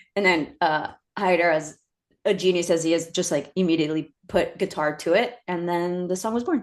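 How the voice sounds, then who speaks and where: A woman with a Spanish accent speaks at a moderate pace in a fairly low pitch, her intonation fairly even. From US, Mexican-American, Spanish-speaking household. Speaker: actor and creator. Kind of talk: interview conversation.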